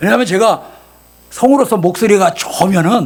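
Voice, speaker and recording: A man with a high pitch moves through very wide pitch swings at a moderate pace. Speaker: pastor and voice actor. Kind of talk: sermon. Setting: church service with congregation. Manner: animated.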